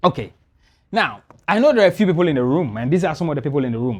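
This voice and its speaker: Man with a fairly high pitch, very wide pitch swings and an animated tone, on a very clean recording with a silent background. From Ghana. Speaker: business podcast host and speaker. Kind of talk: business masterclass presentation. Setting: live event with audience in studio. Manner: fast.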